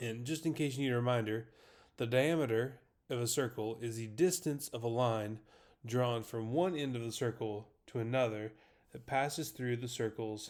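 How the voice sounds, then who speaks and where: Medium pitch, ordinary pitch variation and a moderate speed from a man with a normal speaking voice. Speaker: math teacher. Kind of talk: lecture.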